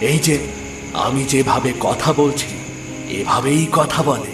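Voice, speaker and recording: A man does a cartoonish character voice at a fairly high pitch and a moderate pace over loud background noise. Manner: warm and gently teasing.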